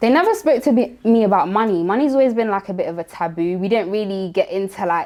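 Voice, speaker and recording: Speaking very fast with hardly any pauses, a woman uses a medium pitch and ordinary pitch variation. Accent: London. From London, Tottenham. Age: 20s. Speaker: finance content creator. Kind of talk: interview.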